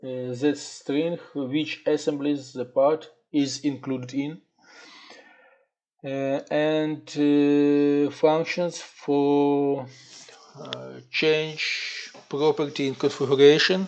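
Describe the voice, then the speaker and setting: A very slow pace with a non-native accent. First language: not English. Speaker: software developer. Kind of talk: tutorial. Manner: halting, many filler sounds.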